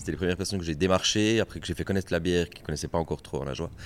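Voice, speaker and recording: This man's voice sits very deep and low, rising and falling in a normal way. The audio is very clean, and nothing can be heard behind him. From Ajoie, Jura, Switzerland. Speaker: beer sales rep. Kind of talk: casual interview. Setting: brewery.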